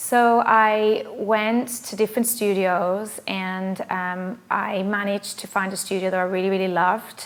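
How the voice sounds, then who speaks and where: The woman keeps her intonation fairly even while noticeable background noise plays behind her. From England. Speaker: pilates instructor. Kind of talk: self-introduction.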